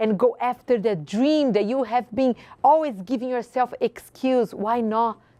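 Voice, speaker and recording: A woman speaks in an animated tone with a slight Brazilian accent over a quiet background. Her fairly high pitch moves with ordinary variation. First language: Portuguese. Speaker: women's group founder and show host. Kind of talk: motivational speech. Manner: animated, rhetorical.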